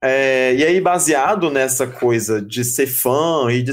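This is a man with an ordinary speaking voice. His pitch is medium, with ordinary pitch variation. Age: 40s. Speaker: journalist and podcast host. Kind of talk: casual chat.

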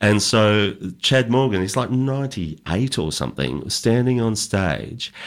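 A man with an Australian accent speaks very slowly, in a fairly low pitch and with lively intonation, on a very clean recording with a silent background. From country Victoria, Australia. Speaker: country music singer-songwriter. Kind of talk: casual chat.

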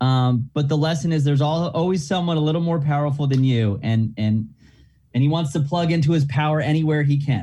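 A man speaks at a fairly quick pace with very even loudness and a fairly high pitch. His tone is dark and mellow, and somewhat breathy. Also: ordinary pitch variation. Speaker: actor. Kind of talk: casual interview chat. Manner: casual, rambling, halting.

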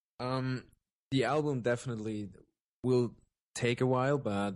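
A man speaks with a German accent in a dark, mellow tone. His pace is moderate. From Germany. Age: 20s. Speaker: electronic music producer and vocalist. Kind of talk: casual interview. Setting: remote call, evening.

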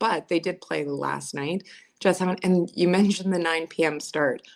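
A woman with a Canadian accent speaks at a fairly low pitch. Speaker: hockey team broadcast host and producer. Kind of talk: casual sports talk chat. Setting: video call from home. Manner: loud.

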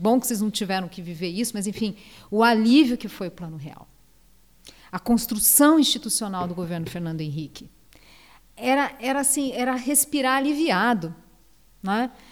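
A woman's fairly high voice at a moderate pace, with lively intonation, big swings in loudness, and long, frequent pauses. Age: 50s. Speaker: economist and state official. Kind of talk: interview.

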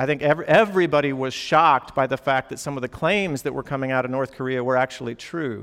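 The man's voice is an unremarkable speaking voice, fairly high in pitch with ordinary pitch variation. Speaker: campus pastor. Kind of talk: sermon. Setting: church gathering with students.

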